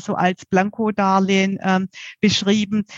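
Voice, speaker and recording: With a southern German accent, a woman talks at a medium pitch in a dry, close sound with no echo, against a quiet background. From southern Germany. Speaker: mortgage advisor. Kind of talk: expert interview. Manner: frequent fillers.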